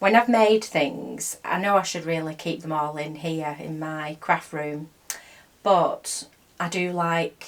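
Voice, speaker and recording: A woman with a fairly low pitch speaks at a very slow pace. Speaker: crochet vlogger. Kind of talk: casual chat. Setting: home craft room. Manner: soft-spoken.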